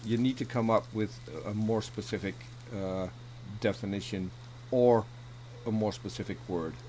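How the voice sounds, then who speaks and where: A man with a non-native accent speaks at a moderate pace, with long, frequent pauses and fairly even intonation. His voice is somewhat breathy, with a dark, mellow tone. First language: not English. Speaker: debater on atheism. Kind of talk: casual chat. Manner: halting.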